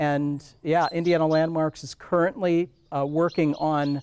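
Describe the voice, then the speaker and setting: A man with an American accent speaks in a normal speaking voice at a fairly slow pace. His pitch is fairly high and his intonation fairly even. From Iowa. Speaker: historic preservation director. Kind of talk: casual interview.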